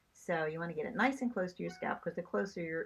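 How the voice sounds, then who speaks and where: With vocal fry and very wide pitch swings, a woman speaks in a fairly low voice. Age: 70s. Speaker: beauty vlogger. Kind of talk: tutorial. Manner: casual, hesitant with fillers.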